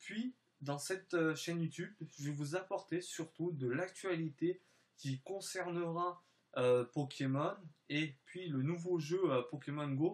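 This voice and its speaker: A man speaks at a very slow pace. His fairly high voice shows ordinary pitch variation. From France / Spain (mixed), time in southern France. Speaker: YouTuber. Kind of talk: vlog channel presentation. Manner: halting, many hesitations.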